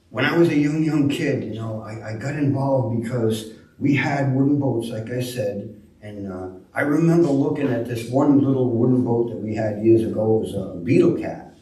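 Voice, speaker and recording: A man's medium-pitched voice at a moderate pace, with ordinary pitch variation and audible room echo. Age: 70s. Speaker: shipwright. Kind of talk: talk to a club audience. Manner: halting, many fillers.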